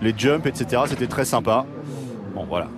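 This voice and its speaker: Fairly slow speech from a man, noticeable background noise behind it. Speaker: race commentator. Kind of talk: live race commentary.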